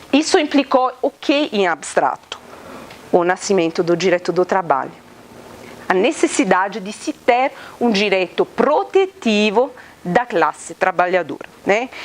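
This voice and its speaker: A woman with an Italian accent at a fairly slow pace, medium in pitch with very wide pitch swings, long, frequent pauses and noticeable background noise. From Italy. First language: Italian (speaking Portuguese). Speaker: law professor. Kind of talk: lecture. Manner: interactive, many hesitations and tag questions.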